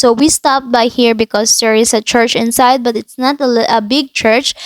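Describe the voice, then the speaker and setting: In a Filipino accent, a woman speaks at a high pitch with a dry, close sound and no echo. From Philippines. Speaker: travel vlogger. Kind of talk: impromptu voiceover narration. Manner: halting, many fillers.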